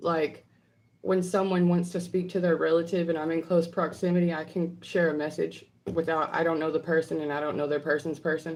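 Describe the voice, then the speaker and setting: Words come out rather briskly. The accent is a Southern US accent. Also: woman, fairly low pitch for a woman. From US South. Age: 30s. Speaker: psychic medium. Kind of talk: livestream Q&A. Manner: animated.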